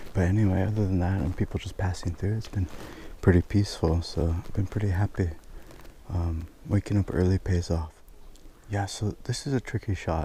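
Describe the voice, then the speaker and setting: A man talks quietly at a fairly quick pace, his pitch very deep and low and his tone dark and mellow. He sounds somewhat breathy, with fairly even intonation. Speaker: travel photographer, vlogger. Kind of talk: on-location vlog commentary. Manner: quiet, low voice.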